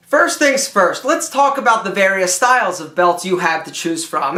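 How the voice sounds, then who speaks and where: A man's raised, projected voice, animated and bright, sharp in tone, with very wide pitch swings. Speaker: image consultant and style video host. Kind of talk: tutorial.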